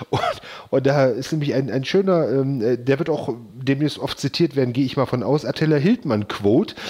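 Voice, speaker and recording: A man's voice sits at a fairly high pitch, dark and mellow in tone, with ordinary pitch variation. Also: moderate pace. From eastern Germany, Magdeburg area. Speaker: podcast host. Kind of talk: casual chat. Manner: halting, many repetitions.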